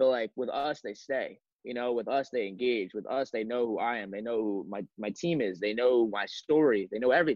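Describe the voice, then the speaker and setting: Speaking in a normal speaking voice with an American accent, a man talks at a fairly quick pace and medium pitch, with ordinary pitch variation and hardly any pauses. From Long Island, New York. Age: 20s. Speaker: apparel brand founder. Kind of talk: casual chat.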